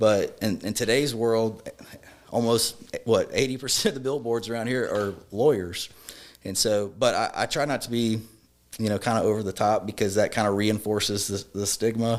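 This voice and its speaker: A man talks with a Louisiana accent at a moderate pace. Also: medium pitch for a man, fairly even intonation. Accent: Louisiana Southern US. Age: 30s. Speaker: personal injury lawyer. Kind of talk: podcast interview.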